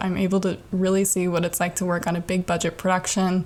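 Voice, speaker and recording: A woman at a medium pitch and a very fast pace. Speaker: podcast host and aspiring comedian. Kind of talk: monologue. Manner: animated.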